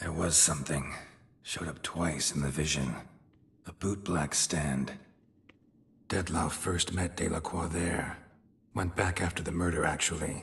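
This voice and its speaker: In a put-on character voice, the speaker moves at a moderate pace broken by long, frequent pauses. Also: man, very deep, low pitch for a man. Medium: video game. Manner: terse, clipped, deadpan.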